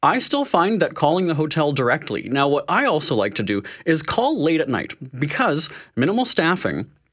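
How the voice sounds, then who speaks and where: A man with a Canadian accent talks at a moderate pace and fairly high pitch, using very wide pitch swings, vocal fry and very even loudness. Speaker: money-saving expert. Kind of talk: interview. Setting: studio.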